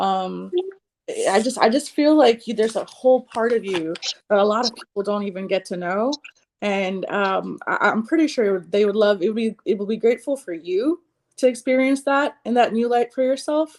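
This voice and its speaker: A woman speaks with a plain, everyday voice at a fairly high pitch. Her intonation is lively and her pace moderate. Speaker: psychic reader and healer. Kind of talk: spiritual reading. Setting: livestream.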